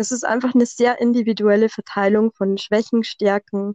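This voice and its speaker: A woman's dark, mellow tone with a Bavarian accent, fairly high in pitch, monotone and flat, at a moderate pace, in a dry, close sound with no echo. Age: 30s. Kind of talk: casual interview. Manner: tries to avoid monotone.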